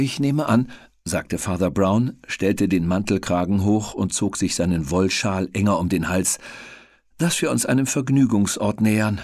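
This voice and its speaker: A man with a plain, everyday voice, fairly low in pitch, at a moderate pace and very even loudness, on a very clean recording with a silent background. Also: lively intonation. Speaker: audiobook narrator. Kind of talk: audiobook reading.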